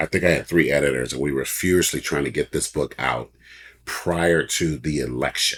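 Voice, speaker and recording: Recorded very cleanly against a silent background, a man speaks at a moderate pace in a very deep, low pitch with vocal fry. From US West Coast, Oakland, California. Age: 60s. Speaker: author and publisher. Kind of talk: interview chat.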